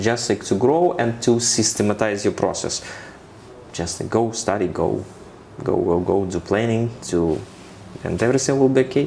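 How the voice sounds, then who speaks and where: Against noticeable background noise, a man with a Ukrainian accent speaks at a medium pitch with ordinary pitch variation. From Ukraine. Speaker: corporate finance expert. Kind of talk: interview. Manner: halting, with fillers and repetitions.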